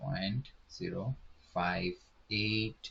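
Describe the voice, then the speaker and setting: The delivery is very slow. Intonation stays fairly even. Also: man. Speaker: online tutor. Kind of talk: tutorial.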